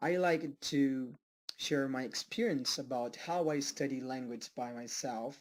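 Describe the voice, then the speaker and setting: The speaker has a Portuguese accent and talks at a fairly slow pace. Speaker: self-taught language learner. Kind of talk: personal vlog. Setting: home study room. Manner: halting, with many fillers.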